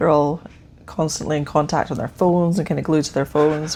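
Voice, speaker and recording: A woman with an Edinburgh accent speaks in a very deep, low voice with ordinary pitch variation. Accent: Scottish (Edinburgh). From Scotland, Edinburgh. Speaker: witch and tarot practitioner. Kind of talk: casual chat. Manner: hesitant, many fillers.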